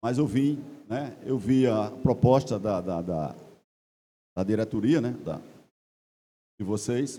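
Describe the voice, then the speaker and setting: A man is speaking. His voice has a dark, mellow tone. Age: 60s. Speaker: club member, chemical engineer. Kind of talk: assembly floor speech. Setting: general assembly with audience.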